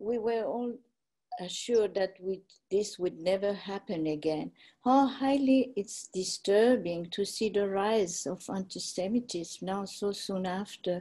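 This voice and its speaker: Against a quiet background, a woman talks at a fairly slow pace in a dark, mellow tone with ordinary pitch variation. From France. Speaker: Holocaust survivor. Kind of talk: testimony. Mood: serious, concerned. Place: home room. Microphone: video call.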